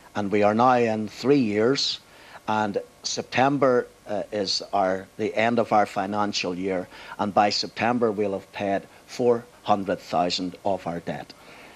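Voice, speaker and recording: A man with a Belfast accent speaks at a fairly slow pace. His pitch is fairly low and his intonation fairly even. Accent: Belfast Northern Irish. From Northern Ireland, Belfast. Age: 60s. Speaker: pastor. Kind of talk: TV interview.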